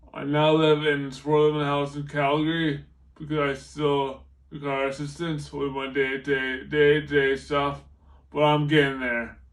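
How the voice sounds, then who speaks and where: Audible room echo hangs around the voice. The man talks at a fairly slow pace. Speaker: car crash survivor speaker. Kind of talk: testimony. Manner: halting, repeated false starts.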